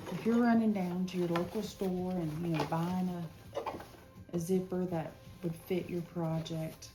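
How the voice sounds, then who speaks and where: Soft-spoken and fairly low-pitched, a woman talks at a fairly slow pace with fairly even intonation, amid noticeable background noise and audible room echo. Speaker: sewing instructor. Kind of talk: tutorial.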